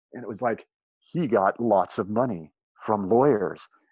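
In an ordinary speaking voice, a man talks at a medium pitch with ordinary pitch variation, the sound dry and close with no echo. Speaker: former state legislator. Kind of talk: casual conversational podcast chat. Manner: joking, humorous, storytelling.

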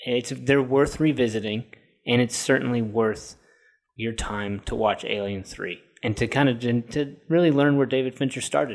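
An ordinary speaking voice from a man, medium in pitch with ordinary variation, at a moderate pace on a very clean recording with a silent background. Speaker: film podcast host. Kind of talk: casual film discussion podcast.

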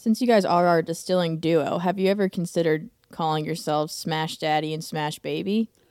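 In a normal speaking voice, the speaker moves at a fairly quick pace with ordinary pitch variation. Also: woman, fairly low pitch for a woman. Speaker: podcast co-host. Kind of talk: casual chat. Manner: jokey, laughs often.

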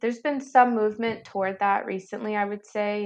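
In a plain, everyday voice, a woman with an American accent speaks at a fairly quick pace and medium pitch. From US, Virginia. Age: 30s. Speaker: nurse. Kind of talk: casual chat.

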